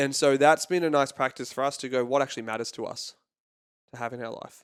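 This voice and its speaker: A man at a very fast pace with a fairly high pitch, fairly even intonation and big swings in loudness, on a very clean recording with a silent background. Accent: American. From California. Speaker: happiness coach. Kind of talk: podcast interview.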